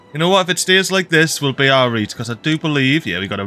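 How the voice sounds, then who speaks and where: Very fast, lively speech in a Geordie accent. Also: man. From Northeast England (Geordie). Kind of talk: gaming commentary. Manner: casual, upbeat.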